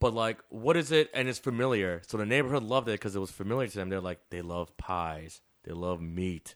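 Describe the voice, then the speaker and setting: Someone with a Chicago accent talks at a fairly quick pace with hardly any pauses. The intonation is lively, and the recording is very clean with a silent background. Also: man, fairly low pitch for a man. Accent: Chicago American. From Chicago, north side. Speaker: chef and restaurant owner. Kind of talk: casual interview.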